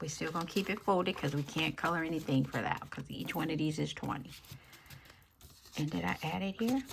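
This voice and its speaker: A woman speaks quietly. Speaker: budgeting YouTuber. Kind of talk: cash stuffing tutorial. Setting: at home, early morning. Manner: quiet, talking low.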